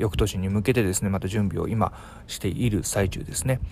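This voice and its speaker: Music plays behind a man whose fairly low voice shows ordinary pitch variation. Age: 40s. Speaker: podcast host. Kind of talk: casual chat.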